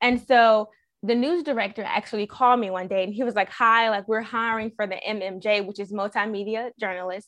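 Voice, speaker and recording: With an American accent, a woman speaks in a normal speaking voice at a fairly high pitch and a fairly quick pace, her intonation fairly even against a quiet background. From US South. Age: 30s. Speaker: TV news reporter and weekend anchor. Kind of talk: interview.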